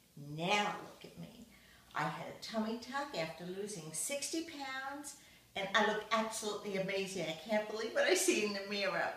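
There is audible room echo around a woman speaking at a medium pitch. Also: moderate pace. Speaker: plastic surgery patient. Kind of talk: patient testimonial to camera. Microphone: camera far.

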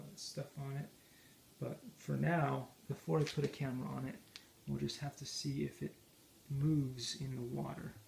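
The speech moves at a moderate pace. Light background noise sits underneath. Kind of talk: casual project vlog explanation. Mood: unsure, mildly amused. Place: home room. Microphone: phone near.

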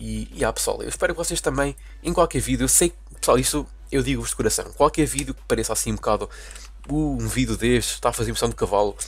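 Speaking very fast with a European Portuguese accent, a man's voice shows big swings in loudness. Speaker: gaming YouTuber. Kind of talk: casual gameplay commentary. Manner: animated.

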